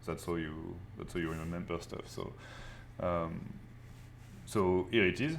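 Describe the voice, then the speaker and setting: With long, frequent pauses, a man with a French accent speaks at a fairly slow pace in a very deep, low pitch, his intonation fairly even. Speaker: art teacher. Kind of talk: live online class.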